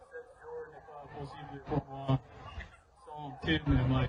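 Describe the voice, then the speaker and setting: A man speaks very slowly at a fairly high pitch. His intonation is fairly even, and there is noticeable background noise. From United States, Franco-American. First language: English (speaking French). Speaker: podcaster, award recipient. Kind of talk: acceptance speech. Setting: stage with audience. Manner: halting.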